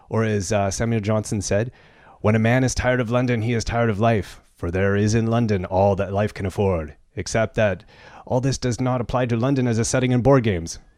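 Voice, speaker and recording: A man talks at a fairly quick pace in a normal speaking voice, his loudness very even and his intonation fairly even. The recording is very clean, with a silent background. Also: medium pitch for a man. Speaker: podcast host. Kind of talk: casual banter podcast. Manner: joking, playful.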